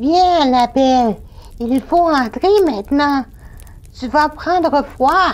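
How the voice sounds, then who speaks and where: A female-sounding put-on character voice sits high in pitch. It moves at a very slow pace with long, frequent pauses. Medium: audio drama.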